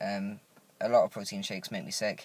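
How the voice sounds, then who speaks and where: A man talks at a moderate pace. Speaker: vlogger. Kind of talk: video diary. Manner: hesitant, many fillers.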